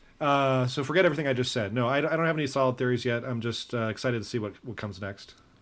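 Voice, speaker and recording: A man talks at a very fast pace with hardly any pauses. His voice sits at a medium pitch with ordinary pitch variation. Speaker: podcast host.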